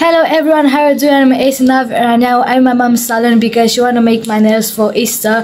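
Faint background noise underlies a slightly mellow voice that moves at a fairly quick pace with fairly even intonation. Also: woman.

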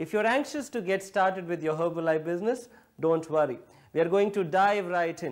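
A man is speaking. The background is quiet. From India. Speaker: direct-selling distributor, training presenter. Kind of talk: scripted training video narration. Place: home room.

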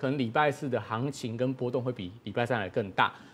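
A man talks at a very fast pace. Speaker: market analyst. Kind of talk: analysis commentary. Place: studio.

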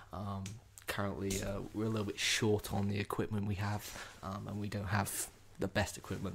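Against light background noise, a man with a fairly low pitch talks at a moderate pace in a normal speaking voice. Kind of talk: ASMR roleplay talk. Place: home room. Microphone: studio mic.

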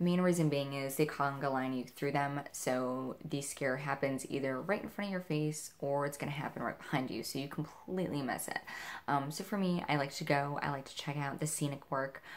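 A woman talks at a fairly quick pace with hardly any pauses. Her pitch is very deep and low, with ordinary pitch variation. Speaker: horror event vlogger. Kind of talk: casual vlog chat. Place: home room. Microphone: camera far.

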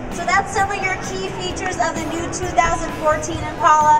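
Over loud background music, a woman talks at a fairly quick pace. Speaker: trade show presenter. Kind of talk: live product presentation. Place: hall.

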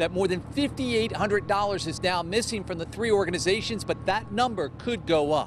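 Through noticeable background noise, a man with a high pitch speaks at a moderate pace with lively intonation and a dry sound with no echo. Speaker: TV news reporter. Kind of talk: news reporting, live field report in a crisp, polished broadcast delivery. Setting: outdoors, live on location. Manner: formal, steady, authoritative. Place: open country. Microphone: handheld.

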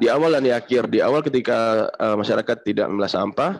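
A man rattles along very fast, his intonation lively. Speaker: startup founder; webinar presenter. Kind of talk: webinar presentation. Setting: video call. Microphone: video call.

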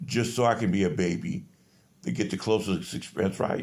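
At a moderate pace, a man speaks at a fairly low pitch with ordinary pitch variation. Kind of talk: casual selfie monologue, complaint. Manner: weak, flat voice lying in bed. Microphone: phone near.

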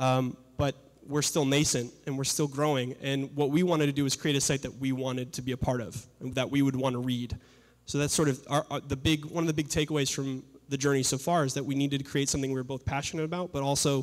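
A man speaks at a very fast pace in a monotone, flat intonation against a quiet background. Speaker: presenter. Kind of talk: presentation talk. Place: hall. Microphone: handheld.

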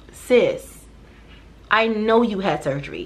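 The woman's voice has ordinary pitch variation. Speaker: vlogger. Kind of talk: casual vlog chat. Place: home room.

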